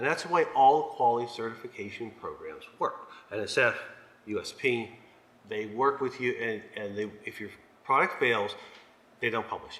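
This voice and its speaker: At a moderate pace, a man speaks with long, frequent pauses. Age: 60s. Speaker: supplement testing researcher. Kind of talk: panel presentation. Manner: halting, many fillers.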